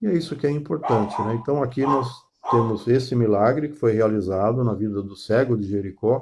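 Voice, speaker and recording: With a dark, mellow tone, a man speaks somewhat breathily and with lively intonation. He keeps a moderate pace against a quiet background. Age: 60s. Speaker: pastor. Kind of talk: sermon. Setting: online live stream. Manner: halting, many fillers.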